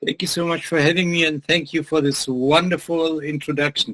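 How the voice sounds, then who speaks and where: With a German accent, this man talks at a fairly quick pace in a fairly high pitch, his intonation fairly even and the sound dry and close with no echo. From Germany. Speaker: business lecturer. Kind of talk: interview.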